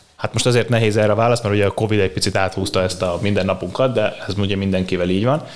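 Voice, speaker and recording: A man with a fairly low voice talks at a very fast pace with hardly any pauses, very even loudness and fairly even intonation, over noticeable background noise. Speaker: strength and conditioning coach. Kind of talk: interview.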